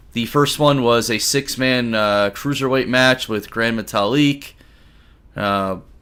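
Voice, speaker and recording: With a bright, sharp tone and fairly even intonation, the speaker goes at a very slow pace with long, frequent pauses. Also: man. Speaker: wrestling podcast host. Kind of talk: solo podcast review. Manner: casual with many fillers.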